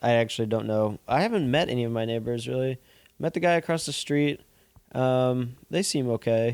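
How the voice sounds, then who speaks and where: A man with a normal speaking voice talks at medium pitch and a moderate pace, his pitch varying in an ordinary way. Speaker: podcast co-host. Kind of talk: casual chat.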